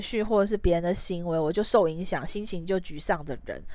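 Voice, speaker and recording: A woman's plain, everyday voice at a medium pitch, with ordinary pitch variation and a fairly quick pace. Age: 30s. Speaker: podcast host. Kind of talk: solo podcast monologue.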